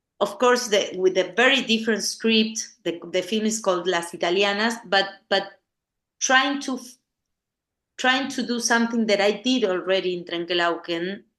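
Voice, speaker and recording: This woman speaks with an Argentine accent at a moderate pace. The background is quiet. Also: medium pitch for a woman, ordinary pitch variation. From Argentina, La Plata. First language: Spanish. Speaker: film director. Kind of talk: interview conversation. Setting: podcast interview. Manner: halting, many repetitions and fillers.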